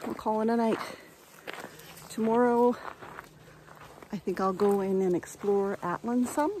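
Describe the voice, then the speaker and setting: A woman talks with ordinary pitch variation while noticeable background noise carries on. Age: 60s. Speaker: car camper and RV vlogger. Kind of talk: casual vlog talk to camera.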